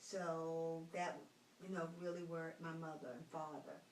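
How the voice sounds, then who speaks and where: A woman's fairly low voice in an American accent, with audible room echo and noticeable background noise. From North Carolina, Roanoke Rapids. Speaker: retired school teacher. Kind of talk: interview.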